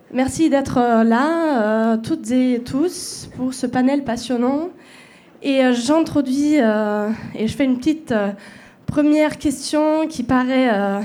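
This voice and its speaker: Very slowly, a woman speaks in a high pitch and a dark, mellow tone, with ordinary pitch variation. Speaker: panel moderator. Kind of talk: panel moderation. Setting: stage with audience. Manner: halting.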